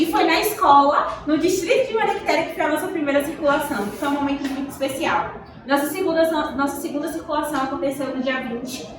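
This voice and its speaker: A woman's high-pitched voice at a fairly quick pace, ordinary pitch variation, noticeable background noise and audible room echo. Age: 20s. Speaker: teacher and poetry movement vice-coordinator. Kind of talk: school talk to students. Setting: school classroom, standing.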